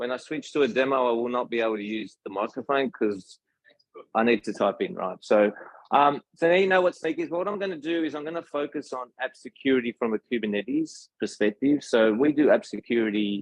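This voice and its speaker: A man talks with an Australian accent. His pace is fairly quick and his intonation lively. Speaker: tech solutions engineer. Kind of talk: tech talk. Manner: casual.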